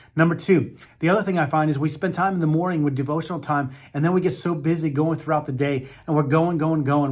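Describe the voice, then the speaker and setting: Fairly high for a man, his somewhat breathy voice moves at a very fast pace with fairly even intonation. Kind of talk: motivational teaching talk. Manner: earnest, encouraging.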